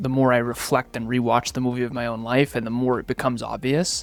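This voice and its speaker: With music in the background, a man speaks in a medium pitch. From Massachusetts, US. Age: 30s. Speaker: business coach and CEO. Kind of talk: podcast interview. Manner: fast.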